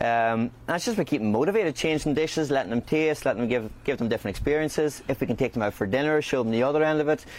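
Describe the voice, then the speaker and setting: A man talks very fast in a Northern Irish accent, with hardly any pauses. His loudness stays very even and his pitch varies in an ordinary way. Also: medium pitch for a man. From Northern Ireland, County Fermanagh. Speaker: chef and restaurant owner. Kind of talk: interview. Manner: halting.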